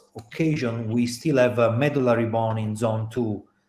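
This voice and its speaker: A man speaks at a medium pitch with a dark, mellow tone. His intonation stays fairly even. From Italy. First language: Italian. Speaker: orthopaedic surgeon. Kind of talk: panel discussion. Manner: hesitant, many fillers.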